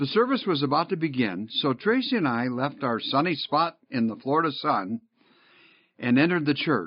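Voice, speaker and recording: Pitched fairly high, a man with an American accent speaks at a moderate pace. His pitch swings very widely while his loudness stays very even. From Michigan, near Detroit. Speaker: pastor and church consultant. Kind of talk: narrated talk with sermon-style exhortation.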